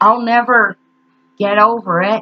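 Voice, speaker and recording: A woman talks at a fairly slow pace. Her tone is bright and sharp. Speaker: grief vlogger. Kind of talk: personal vlog monologue. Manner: halting, stuttering.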